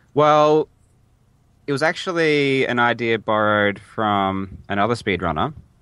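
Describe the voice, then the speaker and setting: A man with an Australian accent, a medium pitch, and a bright, sharp tone, speaking fairly slowly with lively intonation and very even loudness. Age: 20s. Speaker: speedrunner. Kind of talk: interview. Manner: halting.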